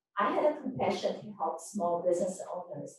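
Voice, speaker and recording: In a room with audible echo, a woman with a Korean accent talks at a moderate pace with lively intonation. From Korea and Japan. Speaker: politician. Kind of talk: press conference speech.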